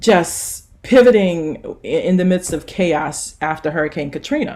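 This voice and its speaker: At a fairly slow pace, a woman speaks in a Louisiana accent. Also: very clean recording, silent background. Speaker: nurse practitioner and author. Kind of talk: conference talk.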